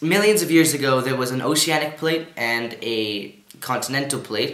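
Audible room echo surrounds a voice moving at a moderate pace with ordinary pitch variation. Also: man. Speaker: presenter. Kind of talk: educational lesson. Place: home room.

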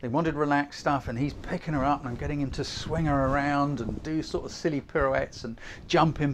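Medium pitch and a moderate pace from a man, the intonation fairly even

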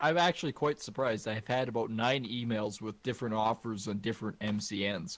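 In a normal speaking voice, a man at medium pitch talks at a fairly quick pace with ordinary pitch variation, recorded very cleanly against a silent background. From Canada. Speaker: gaming streamer. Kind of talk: casual chat while gaming.

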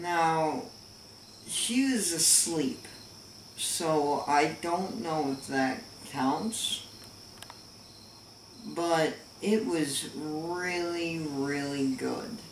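Through audible room echo and light background noise, a man talks at a very slow pace with long, frequent pauses. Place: home room. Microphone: camera far.

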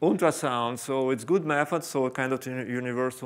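With pitch that varies in an ordinary way, this man talks fairly quickly. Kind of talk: lecture. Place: hall.

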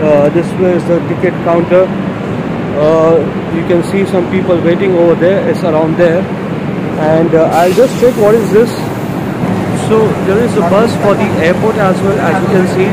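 A man talks at a moderate pace, pausing long and often, with loud background noise behind him. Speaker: travel vlogger. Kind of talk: casual vlog chat. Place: station. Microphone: phone near.

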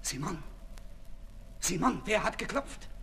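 Using a put-on character voice, a man speaks high and slow with lively intonation. Vocal fry runs through his delivery.

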